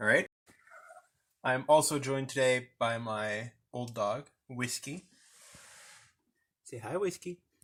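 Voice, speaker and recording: In a very clean recording with a silent background, a man with a French Canadian accent speaks at a medium pitch and a fairly slow pace. He leaves long, frequent pauses, and his pitch varies in an ordinary way. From French Canada. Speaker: vlogger. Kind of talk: casual walkthrough. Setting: inside a van.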